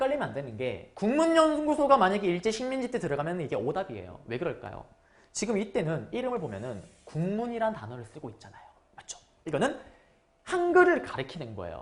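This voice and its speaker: A woman at medium pitch speaks at a fairly quick pace with vocal fry, very wide pitch swings and big swings in loudness, with audible room echo. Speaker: history lecturer for exam prep. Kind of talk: lecture. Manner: animated.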